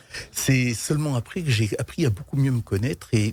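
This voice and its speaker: A man with a medium-pitched, somewhat breathy voice talks at a moderate pace with ordinary pitch variation. The sound is dry and close, with no echo. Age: 60s. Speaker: business leader. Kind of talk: interview.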